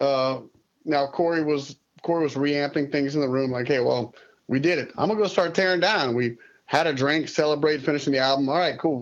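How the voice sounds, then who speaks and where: Here a man speaks with a south Louisiana accent at a fairly high pitch. His pace is fairly quick, and his pitch varies in an ordinary way. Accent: south Louisiana Cajun English. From Louisiana (Lafayette, Broussard). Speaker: musician. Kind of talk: interview. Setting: studio.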